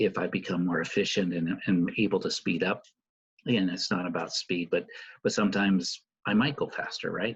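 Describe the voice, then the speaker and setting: A man speaks with an Oregon accent. His pace is moderate. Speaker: course instructor. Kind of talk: online course update video.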